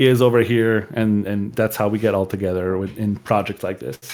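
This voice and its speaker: A man speaks at a fairly quick pace in a fairly low voice. His intonation stays fairly even. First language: French. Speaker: gamer, podcast guest. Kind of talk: casual chat.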